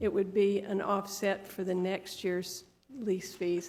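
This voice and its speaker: A soft-spoken woman speaks at a medium pitch and a moderate pace. Her intonation stays flat and monotone. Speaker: business owner presenting to county commission. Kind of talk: public meeting presentation. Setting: county commission board room. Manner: halting. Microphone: too quiet, mic needed lowering.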